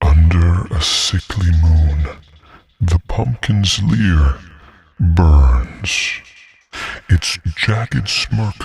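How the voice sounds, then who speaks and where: In a put-on character voice pitched very deep and low, a man speaks at a very slow pace with long, frequent pauses. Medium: tutorial demo.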